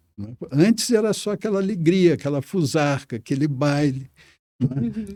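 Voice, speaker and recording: On a very clean recording with a silent background, a man's fairly high voice carries a dark, mellow tone and lively intonation. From Minas Gerais, Brazil. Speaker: poet and diplomat. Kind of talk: interview answer. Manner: hesitant, thoughtful.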